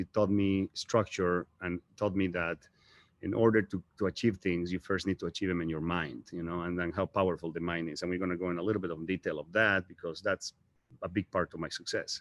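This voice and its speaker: A man with a strong Bolivian accent and a very deep, low pitch speaks at a fairly quick pace with fairly even intonation, in a dry, close sound with no echo and a quiet background. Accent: thick Bolivian Spanish. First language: Spanish. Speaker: real estate agent. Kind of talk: motivational talk. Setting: live stream.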